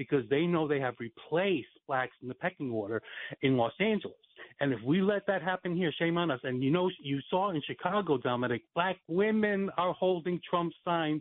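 This man speaks with an American accent at a moderate pace. His pitch is high and his intonation lively. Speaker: caller. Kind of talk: casual chat. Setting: phone call.

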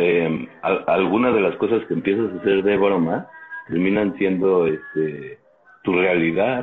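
A man has an unremarkable speaking voice with a fairly low pitch. He talks at a fairly slow pace, and his loudness stays very even. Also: ordinary pitch variation. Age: 40s. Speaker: podcast co-host. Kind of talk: casual chat.

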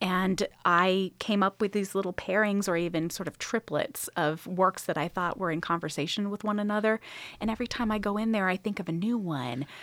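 With an American accent, a woman speaks in an ordinary speaking voice at medium pitch and a fairly quick pace, with ordinary pitch variation and hardly any pauses, in a very clean recording with a silent background and a dry, close sound with no echo. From Northern California, Sacramento area. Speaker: museum curator and podcast host. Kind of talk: casual interview.

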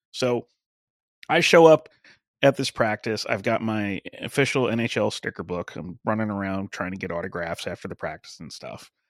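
With an American accent, a man has a plain, everyday voice, fairly low in pitch, with lively intonation, a moderate pace, and big swings in loudness, recorded dry and close with no echo in a very clean recording with a silent background. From Long Island, New York (Suffolk County). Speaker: wrestling podcaster and former sportswriter. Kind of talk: casual chat.

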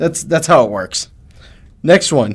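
The recording is very clean, with a silent background. A man with a normal speaking voice talks at a moderate pace and a fairly high pitch. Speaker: podcast host. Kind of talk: casual chat. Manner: joking, teasing.

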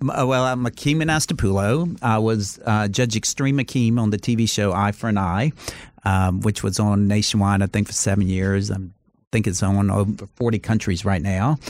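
Speaking in an American accent with an ordinary speaking voice, a man of fairly low pitch keeps a moderate pace, ordinary pitch variation and very even loudness. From US South, Charleston, South Carolina. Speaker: lawyer and former TV judge. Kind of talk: casual interview.

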